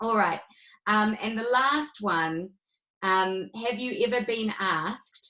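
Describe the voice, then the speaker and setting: A woman with a fairly high pitch and a New Zealand accent. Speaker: rebbetzin teaching a women's class. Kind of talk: online lecture.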